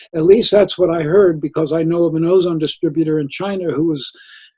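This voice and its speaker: Here a man speaks very fast in a high voice. His tone is dark and mellow, with fairly even intonation. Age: 70s. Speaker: ozone therapy practitioner. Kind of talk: interview.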